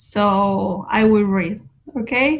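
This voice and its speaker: This is a woman speaking with a Spanish accent. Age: young. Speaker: activist, NGO director. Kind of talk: reading a prepared speech.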